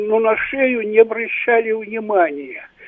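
A man speaks in a high voice at a very slow pace. There is noticeable background noise. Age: 80s+. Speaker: caller, retired university lecturer. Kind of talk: call-in question.

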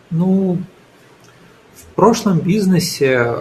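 A man speaks with lively intonation. His voice comes across somewhat breathy. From Ukraine. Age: 20s. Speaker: entrepreneur. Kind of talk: radio interview.

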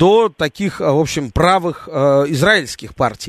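A man speaks at a fairly slow pace with lively intonation. The background is quiet, and the sound is dry and close with no echo. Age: 30s. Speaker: radio host. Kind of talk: talk radio.

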